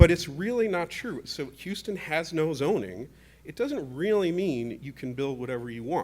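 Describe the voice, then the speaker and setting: A man speaks in a fairly high pitch. His pitch swings very widely. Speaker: housing developer and lecturer on panel. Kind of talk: conference panel presentation. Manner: fast.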